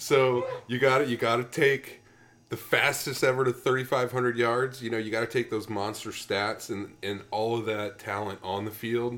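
With noticeable background noise, a man talks at a moderate pace in a medium pitch with fairly even intonation. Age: 30s. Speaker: sports podcast co-host. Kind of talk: casual chat.

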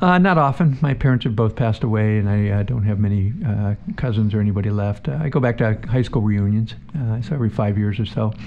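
Noticeable background noise behind a man with an American accent, fairly quick in pace, ordinary pitch variation. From northeastern Pennsylvania. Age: 60s. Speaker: city council member. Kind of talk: radio interview.

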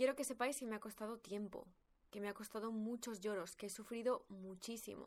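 A woman talks at a fairly quick pace in an ordinary speaking voice. Her pitch is fairly high and her intonation fairly even. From Spain. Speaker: podcast host, personal growth coach. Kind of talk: personal storytelling monologue.

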